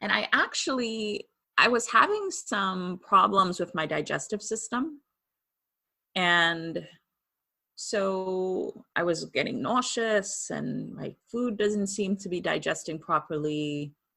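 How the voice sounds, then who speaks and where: Speaking at a very slow pace, a woman with a Trinidadian accent has a bright, sharp tone, medium pitch and ordinary pitch variation, on a very clean recording with a silent background. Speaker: medium and author. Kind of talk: interview testimony.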